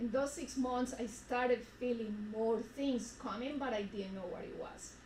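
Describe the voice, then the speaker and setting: A woman's fairly high voice in a Spanish accent, fairly slow, with audible room echo and noticeable background noise. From Colombia. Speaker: retreat speaker. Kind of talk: personal testimony.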